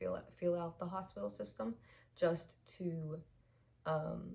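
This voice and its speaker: At a fairly slow pace, a woman with a fairly low pitch speaks with vocal fry. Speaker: vlogger. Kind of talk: casual chat. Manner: hesitant, many fillers.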